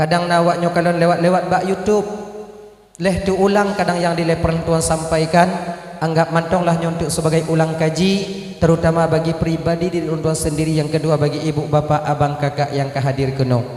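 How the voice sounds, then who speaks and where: A man with an Aceh accent, high-pitched and flat in intonation, at a fairly quick pace, with audible room echo and noticeable background noise. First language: Acehnese (speaking Indonesian). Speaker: Islamic preacher. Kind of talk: sermon.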